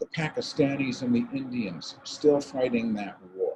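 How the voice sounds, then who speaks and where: An unremarkable speaking voice at a fairly slow pace, with ordinary pitch variation. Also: man. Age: 60s. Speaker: environmental speaker. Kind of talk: impassioned talk.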